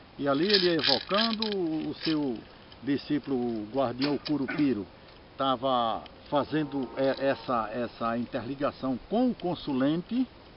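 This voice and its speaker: A man with a fairly high voice speaks at a fairly slow pace, his intonation lively, over noticeable background noise. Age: 60s. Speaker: religious master. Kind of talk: informal talk on religious tradition. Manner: halting, with repeated words.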